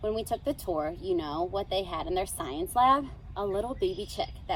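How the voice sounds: A natural reading voice. Nothing else stands out.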